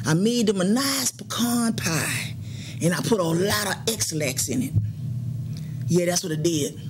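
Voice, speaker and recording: Noticeable background noise sits behind a woman whose voice is fairly low in pitch. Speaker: comic character in a sketch. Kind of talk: acted one-sided phone call. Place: studio.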